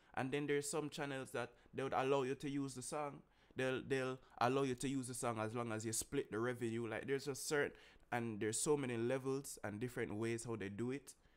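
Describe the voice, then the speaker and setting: With fairly even intonation, a man speaks at a fairly quick pace. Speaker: streamer reacting to music. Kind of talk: casual vlog chat. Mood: annoyed but joking. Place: home room. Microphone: studio mic.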